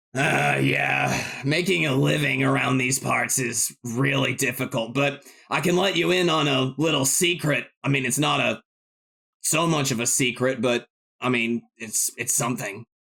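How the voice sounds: A man talks at a moderate pace in a put-on character voice. His voice is raspy. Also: medium pitch for a man.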